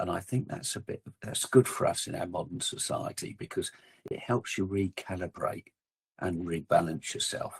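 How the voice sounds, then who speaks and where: At a moderate pace, a man speaks in a dry, close sound with no echo. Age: 60s. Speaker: outdoor equipment company representative and hunter. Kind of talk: casual chat.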